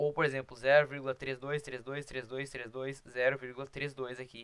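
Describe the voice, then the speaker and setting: The man speaking has a medium pitch. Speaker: math teacher. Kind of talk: lecture. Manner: fast.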